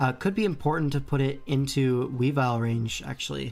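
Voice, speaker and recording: A man speaks with fairly high pitch. Music can be heard behind him. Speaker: streamer commentating competitive game matches. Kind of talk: live commentary. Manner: fast; animated.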